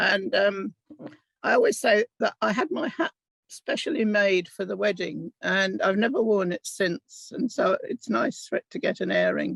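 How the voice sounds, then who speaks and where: With a southern English accent, a woman talks in a dry, close sound with no echo. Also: moderate pace. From England. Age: 70s. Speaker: Holocaust survivor. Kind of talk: testimony.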